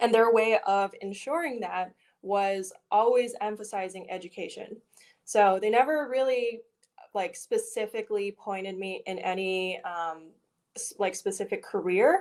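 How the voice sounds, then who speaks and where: The speaker has a plain, everyday voice with an American accent, a fairly slow pace and ordinary pitch variation. Loudness swings widely in a very clean recording with a silent background. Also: woman, fairly high pitch for a woman. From US South, Richmond, Virginia. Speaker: PhD student in bioengineering. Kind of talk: podcast interview. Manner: casual with many fillers.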